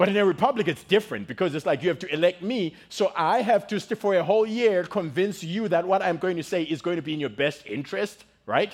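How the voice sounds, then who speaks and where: A man with a Zimbabwean accent talks at a very fast pace with hardly any pauses. His high-pitched voice has an animated tone and ordinary pitch variation. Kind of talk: sermon. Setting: church with audience.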